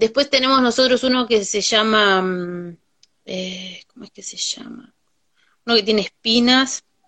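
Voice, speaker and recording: Fairly slow speech from a woman with a fairly high pitch, ordinary pitch variation and big swings in loudness. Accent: Uruguayan. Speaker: farmer and cook. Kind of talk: casual chat. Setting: video call.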